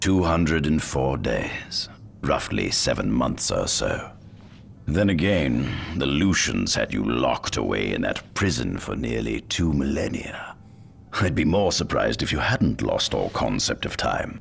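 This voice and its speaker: Using a put-on character voice, a man speaks at a very deep, low pitch with very wide pitch swings over clear background noise. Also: moderate pace. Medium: video game. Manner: smooth, silky, persuasive.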